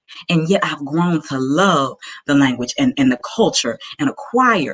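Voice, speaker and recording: A woman's very deep, low voice with a Southern US accent, very wide pitch swings, and a dry, close sound with no echo. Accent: Southern American. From US South, Arkansas. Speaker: entrepreneur pitching her business. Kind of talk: pitch presentation.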